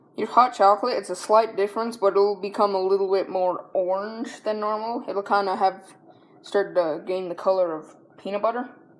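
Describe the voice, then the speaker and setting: A woman's medium-pitched voice at a fairly quick pace, with fairly even intonation. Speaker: home cooking video host. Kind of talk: cooking tutorial. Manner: halting, stumbling over words; casual, conversational.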